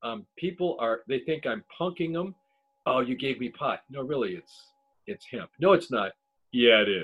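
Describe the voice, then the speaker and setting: A fairly high-pitched man with an American accent, at a moderate pace, with very wide pitch swings. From Ohio, Cleveland. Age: 60s. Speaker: podcast host and cannabis grower. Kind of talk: casual chat. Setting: video call.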